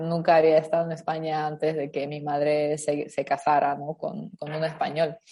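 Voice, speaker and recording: Hardly pausing, a woman speaks at a moderate pace in a very deep, low pitch, her tone dark and mellow and her intonation flat and monotone. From Ukraine. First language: Ukrainian or Russian (speaking Spanish). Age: 20s. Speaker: interview guest. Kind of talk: interview conversation.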